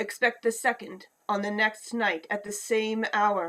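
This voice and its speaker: A female-sounding voice performs a put-on character voice. It moves at a fairly slow pace. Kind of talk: radio play performance. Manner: grave, impassioned.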